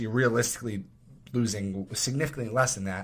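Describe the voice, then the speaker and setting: Bright, sharp tone in an American accent, fairly quick and fairly even in intonation, on a very clean recording with a silent background. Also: man. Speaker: podcast co-host, school teacher. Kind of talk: casual chat. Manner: smooth.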